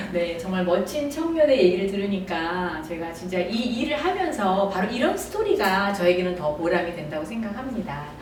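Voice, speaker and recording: A woman's medium-pitched, lively voice at a moderate pace with hardly any pauses, amid noticeable background noise and audible room echo. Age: 60s. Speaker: network marketing business leader and channel host. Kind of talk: interview.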